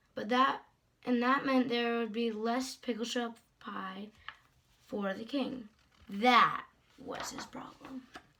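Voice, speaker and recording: A woman puts on a raspy character voice, high-pitched and flat in intonation, speaking at a fairly slow pace with long, frequent pauses. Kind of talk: bedtime story. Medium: read story. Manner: warm, gently amused.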